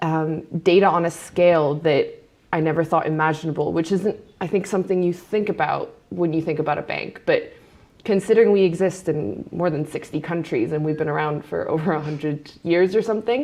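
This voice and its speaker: A plain, everyday voice speaks at a fairly quick pace with an American accent. Its pitch variation is ordinary. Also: woman, fairly low pitch for a woman. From Hong Kong. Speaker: data scientist. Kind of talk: panel interview.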